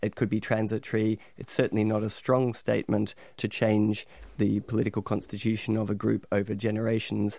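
A dark, mellow voice in an Australian accent holds a monotone, flat intonation at very even loudness. The recording is very clean, with a silent background. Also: man, fairly low pitch for a man. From Australia, Melbourne. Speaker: academic lecturer. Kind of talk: radio panel discussion.

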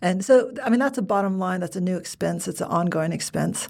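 A woman with a fairly low voice, vocal fry and an American accent at a fairly quick pace, in a very clean recording with a silent background. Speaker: podcast host. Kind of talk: casual interview.

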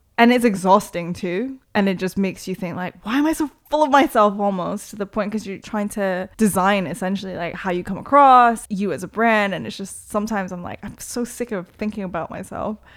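A woman with a normal speaking voice talks at a fairly quick pace and medium pitch, with lively intonation and hardly any pauses, on a very clean recording with a silent background. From Toronto, Canada (born in Korea, moved at six). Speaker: DJ and promoter. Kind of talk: casual interview chat.

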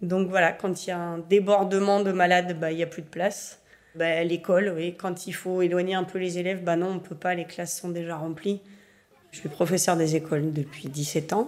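At a moderate pace, a woman speaks in a monotone, flat intonation, her loudness swinging widely. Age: 40s. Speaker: primary school teacher. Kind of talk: documentary interview testimony.

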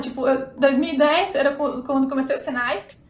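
There is noticeable background noise as a woman speaks in a high-pitched voice. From southern Brazil, Santa Catarina. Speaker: fashion illustrator. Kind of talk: casual interview chat.

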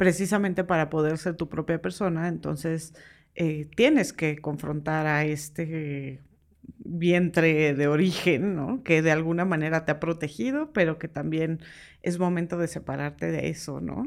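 On a very clean recording with a silent background, a woman with a very deep, low pitch speaks at a fairly slow pace with fairly even intonation. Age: 40s. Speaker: podcast host. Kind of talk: casual chat.

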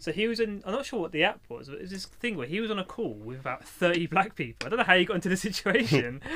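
A man at very fast pace with a raised, projected voice, high pitch, very wide pitch swings and a bright, sharp tone. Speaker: podcast host. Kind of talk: casual chat. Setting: studio.

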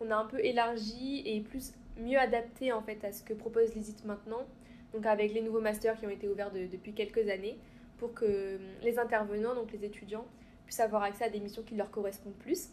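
A woman speaks at a fairly quick pace in a fairly high pitch, her intonation monotone and flat. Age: 20s. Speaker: student. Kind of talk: interview.

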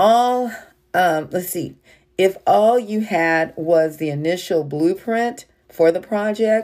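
At a very slow pace, a woman speaks with a fairly low pitch and a dark, mellow tone. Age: 60s. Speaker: online minister. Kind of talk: devotional sermon.

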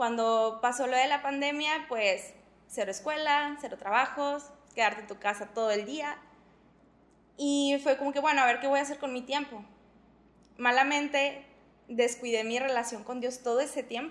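A woman speaks at a high pitch with fairly even intonation. Long, frequent pauses break up her speech. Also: moderate pace. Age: 20s. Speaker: church youth leader. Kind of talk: testimony.

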